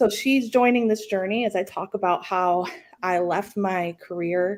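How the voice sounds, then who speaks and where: A woman with an American accent speaks at a fairly slow pace. Her pitch is medium with ordinary variation. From Central New York. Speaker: entrepreneur, former nurse. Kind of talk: podcast interview. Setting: video call from home kitchen. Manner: loud; animated.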